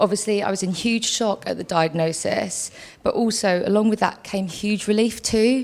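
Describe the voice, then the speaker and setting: A woman at medium pitch, a normal speaking voice, fairly even intonation and a moderate pace. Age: 40s. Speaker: patient speaker. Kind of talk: testimony.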